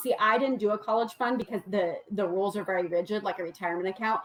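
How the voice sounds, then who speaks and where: This woman speaks at a medium pitch. Her intonation stays fairly even. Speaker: money coach. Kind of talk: livestream presentation. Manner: fast.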